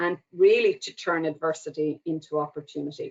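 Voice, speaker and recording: In an Irish accent, a woman speaks at a fairly low pitch with monotone, flat intonation. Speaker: government agency official. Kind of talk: opening speech. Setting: webinar.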